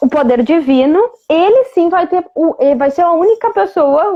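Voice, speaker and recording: A woman's extremely high voice at a moderate pace, with very wide pitch swings. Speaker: Vedic astrologer. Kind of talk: live-stream explanatory talk. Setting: online live stream.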